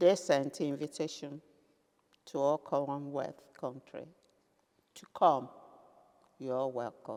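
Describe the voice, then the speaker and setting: Speaking in a Nigerian accent, a woman with a very deep, low pitch and a dark, mellow tone talks at a very slow pace, with ordinary pitch variation, big swings in loudness and long, frequent pauses. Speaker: retired businesswoman. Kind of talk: interview answer.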